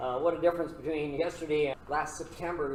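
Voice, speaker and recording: Noticeable background noise sits behind a man with a Canadian accent who talks at a fairly quick pace in a fairly high pitch. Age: 70s. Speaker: pastor. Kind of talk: classroom lecture.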